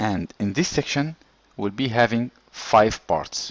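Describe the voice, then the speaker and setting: A man's lively intonation in a non-native accent, with noticeable background noise. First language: not English. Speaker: engineering course instructor. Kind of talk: lecture.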